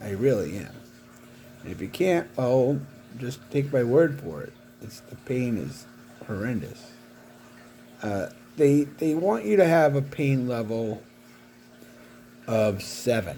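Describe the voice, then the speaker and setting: In a room with audible echo, a man speaks at a medium pitch and a very slow pace, with lively intonation, big swings in loudness and long, frequent pauses. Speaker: paraplegic vlogger. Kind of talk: personal video diary. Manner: halting.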